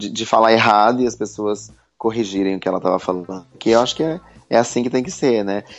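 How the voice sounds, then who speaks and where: A man's fairly low-pitched voice at a very fast pace, with ordinary pitch variation. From Brazil, Santa Catarina. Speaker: entrepreneur. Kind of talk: interview.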